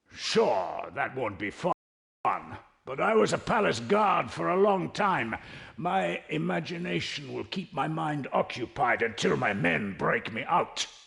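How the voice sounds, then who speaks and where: A man's put-on character voice at medium pitch, fairly slow in pace, with very wide pitch swings. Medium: video game. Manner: blustering.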